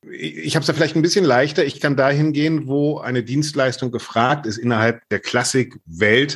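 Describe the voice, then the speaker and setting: A man's voice with vocal fry and lively intonation at a moderate pace. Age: 50s. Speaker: journalist and classical music podcaster. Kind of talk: interview. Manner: animated.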